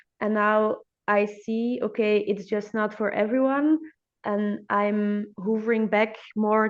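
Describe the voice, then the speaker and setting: A woman with a Dutch accent and a fairly high pitch, at a very slow pace. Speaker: hair therapist podcast host. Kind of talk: interview. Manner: halting.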